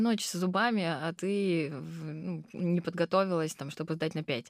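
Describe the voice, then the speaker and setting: A normal speaking voice at a fairly slow pace, with ordinary pitch variation, on a very clean recording with a silent background. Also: woman. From southern Russia, Krasnodar. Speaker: restaurant owner. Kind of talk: interview.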